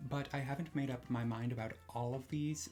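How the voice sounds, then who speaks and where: A soft-spoken, somewhat breathy man with ordinary pitch variation. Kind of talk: casual talk to camera. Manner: low energy.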